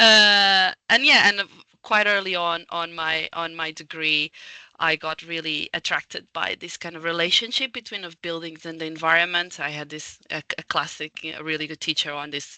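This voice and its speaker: Dry and close with no echo, a voice in a Portuguese accent comes at a moderate pace in a bright, sharp tone, with ordinary pitch variation and big swings in loudness. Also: woman, fairly low pitch for a woman. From Portugal. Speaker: architect and building energy consultant. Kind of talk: casual interview conversation. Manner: halting, many fillers.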